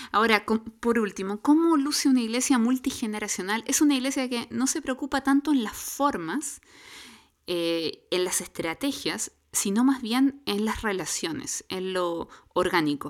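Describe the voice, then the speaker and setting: Her fairly high voice makes very wide pitch swings as this woman speaks at a fairly slow pace. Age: middle-aged. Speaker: church podcast co-host. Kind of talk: casual chat.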